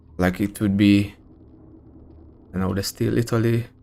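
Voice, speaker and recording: With a strong Hungarian accent, a man with a fairly low voice talks at a fairly slow pace. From Hungary. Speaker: gaming streamer. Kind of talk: live gameplay stream chat. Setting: live stream. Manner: casual, many fillers and hesitations.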